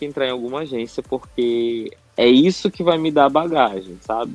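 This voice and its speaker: The pitch variation is ordinary in what is an ordinary speaking voice. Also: man. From northern Brazil, Manaus. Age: 30s. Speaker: entrepreneur and advertising professional. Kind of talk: podcast interview.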